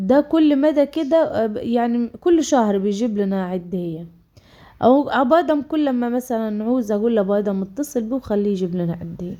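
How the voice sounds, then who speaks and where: With an Egyptian accent, a woman talks in a fairly high, dark and mellow tone with lively intonation. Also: moderate pace. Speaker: vlogger. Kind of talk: casual vlog talk. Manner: halting, many fillers.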